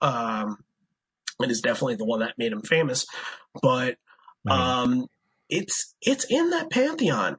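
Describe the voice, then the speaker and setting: His pitch swinging very widely, a man talks at a fairly unhurried pace. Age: 30s. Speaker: podcaster and music fan guest. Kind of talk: casual chat.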